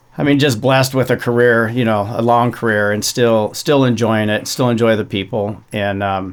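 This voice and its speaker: A man with a plain, everyday voice, medium in pitch, at a moderate pace with fairly even intonation and hardly any pauses. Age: 60s. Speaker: off-road racing champion. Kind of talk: casual chat.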